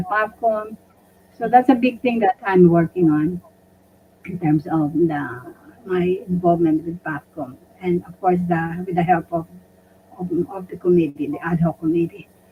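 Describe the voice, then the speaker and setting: A woman speaks at a fairly slow pace with lively intonation and a medium pitch, over noticeable background noise. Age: 80s+. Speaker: retired doctor and community leader. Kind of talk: interview. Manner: halting.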